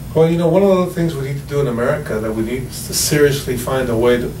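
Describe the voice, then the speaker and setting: A man talks at a very fast pace with a fairly high pitch and lively intonation. There is audible room echo and noticeable background noise. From Cuba, raised in US from age 8. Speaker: radio show guest. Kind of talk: political talk radio discussion.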